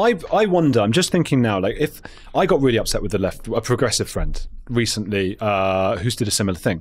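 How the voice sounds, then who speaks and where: A man with a London accent, medium pitch, very wide pitch swings and a fairly quick pace. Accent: southern English (London). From England (London). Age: 30s. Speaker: podcast host. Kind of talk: interview debate. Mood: thoughtful, engaged. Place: studio. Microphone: studio mic.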